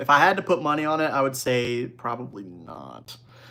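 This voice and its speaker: A man's voice with a bright, sharp tone and ordinary pitch variation. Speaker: livestream host, trading card investing. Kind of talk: live stream chat reading viewer questions. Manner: casual, energetic.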